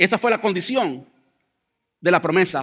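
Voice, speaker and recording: A man speaks at a moderate pace. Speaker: pastor. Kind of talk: sermon. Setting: church.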